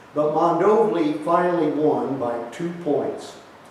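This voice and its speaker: Lively intonation from a man, noticeable noise in the background. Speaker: retired history teacher. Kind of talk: newspaper column reading. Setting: outdoors.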